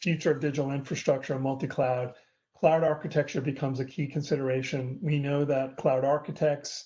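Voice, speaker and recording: Somewhat breathy and fairly high-pitched, a man with a dark, mellow tone speaks at a fairly quick pace in a monotone, flat intonation against a quiet background. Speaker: industry analyst giving a webinar talk. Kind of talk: webinar presentation. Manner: fast.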